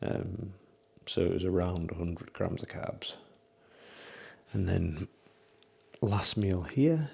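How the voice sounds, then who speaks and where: In a British accent, a man speaks very slowly with a very deep, low pitch and a dark, mellow, somewhat breathy tone. His pitch varies ordinarily, with long, frequent pauses. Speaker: online fitness coach. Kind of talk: casual vlog narration.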